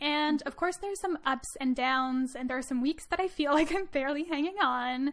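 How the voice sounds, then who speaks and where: A woman with a slight Quebec accent speaks at a high pitch and a moderate pace. She hardly pauses, and her pitch varies in an ordinary way. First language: French. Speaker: podcast host, student. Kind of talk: scripted introduction; podcast interview.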